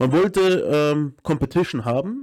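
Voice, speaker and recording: A man speaks in a dark, mellow tone, the sound dry and close with no echo and the recording very clean over a silent background. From Munich, Upper Bavaria. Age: 30s. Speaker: American football head coach. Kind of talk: casual interview chat.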